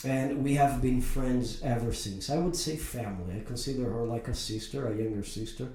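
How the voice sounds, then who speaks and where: A man with a medium-pitched voice talks at a fairly quick pace with hardly any pauses and ordinary pitch variation, and room echo is audible. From Brazil. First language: Portuguese. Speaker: podcast host. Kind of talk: interview.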